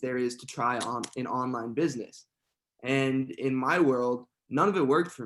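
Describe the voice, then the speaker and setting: With a normal speaking voice, a man talks at a moderate pace, his medium pitch held to fairly even intonation. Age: 20s. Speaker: online entrepreneur. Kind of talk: podcast interview.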